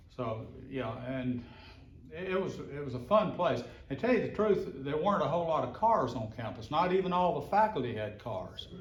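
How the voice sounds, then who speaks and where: A man at a fairly high pitch with very wide pitch swings, moderate in pace, with audible room echo. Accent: Mississippi. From US South, Mississippi. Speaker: local resident sharing memories. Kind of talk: reminiscing at a group meeting. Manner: halting, with fillers and repeats.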